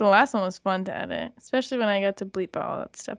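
Against a quiet background, a woman talks in an animated tone, the sound dry and close with no echo. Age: 20s. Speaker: podcast co-host. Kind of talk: casual chat. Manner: giggly, animated.

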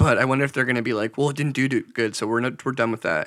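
A man talks at a very fast pace. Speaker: podcast co-host and video editor. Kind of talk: casual chat.

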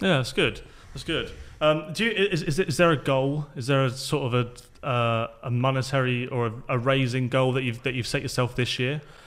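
This man has an ordinary speaking voice, medium in pitch with ordinary variation, delivered at a moderate pace. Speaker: podcast host. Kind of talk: casual interview chat.

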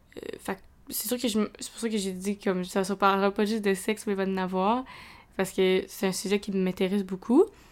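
In a Quebec accent, a woman speaks at a moderate pace and medium pitch, her intonation monotone and flat while her loudness swings widely. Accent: Québécois French. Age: 20s. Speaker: student podcaster. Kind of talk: casual solo podcast talk. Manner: hesitant, many fillers.

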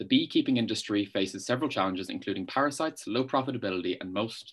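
Against a quiet background, a man with medium pitch speaks in an Irish accent. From Ireland. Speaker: student media interviewer. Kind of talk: interview.

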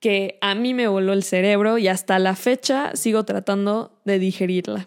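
Her voice is a plain, everyday voice at medium pitch for a woman, delivered at a fairly slow pace with fairly even intonation on a very clean recording with a silent background. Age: young. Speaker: podcast host. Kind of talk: solo monologue on film.

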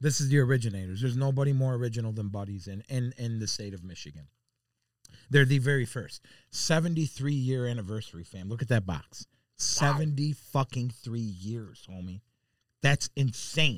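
An animated man with an American accent at a medium pitch, lively in intonation, with big swings in loudness, a moderate pace and a very clean recording with a silent background. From Chicago. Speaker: food social media personality. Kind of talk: casual chat.

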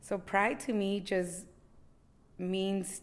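The voice belongs to a woman with an American accent. It sits at a medium pitch. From Los Angeles, Boyle Heights. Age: 40s. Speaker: community activist. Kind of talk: interview. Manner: halting, many fillers.

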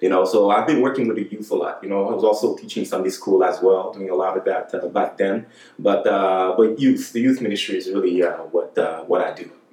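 Talking fairly quickly, a man comes through with noticeable noise in the background. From Montreal, Quebec; Haitian family. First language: French. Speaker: podcast guest, churchgoer. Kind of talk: casual chat. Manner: animated, repetitive.

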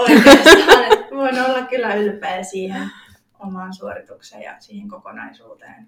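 In a plain, everyday voice, a woman speaks at a fairly high pitch with lively intonation and big swings in loudness. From eastern Finland, Joensuu. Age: 20s. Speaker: fitness athlete. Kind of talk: interview.

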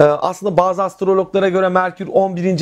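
A man speaks at a moderate pace with a high pitch. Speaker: astrology channel host. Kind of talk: solo tutorial on astrology. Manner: halting, many fillers.

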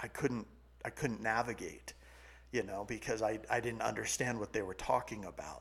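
A man with an American accent has an ordinary speaking voice at medium pitch. He talks at a fairly quick pace. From California. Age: 40s. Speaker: sales coach and business founder. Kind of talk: casual chat.

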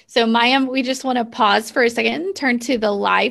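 Captured on a very clean recording with a silent background, a woman talks at a fairly high pitch with vocal fry. Her pace is moderate and her intonation fairly even. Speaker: co-host. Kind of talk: interview chat.

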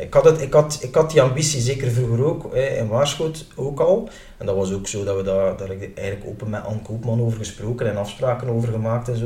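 Noticeable background noise and audible room echo surround a man talking very fast. His pitch is medium, with ordinary variation. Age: 30s. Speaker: mayor and lawyer. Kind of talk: interview.

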